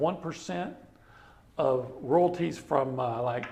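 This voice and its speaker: Noticeable background noise and audible room echo surround a man with an American accent. He speaks at medium pitch with lively intonation. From East Texas. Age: 50s. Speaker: sportswriter. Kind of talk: casual chat. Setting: barbecue restaurant. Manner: animated storytelling.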